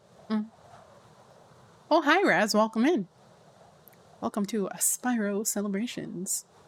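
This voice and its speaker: A woman speaks at a fairly slow pace with long, frequent pauses. Her pitch is fairly high and her intonation lively. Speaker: video game streamer. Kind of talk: live game stream chat. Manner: tongue-tied, stumbling.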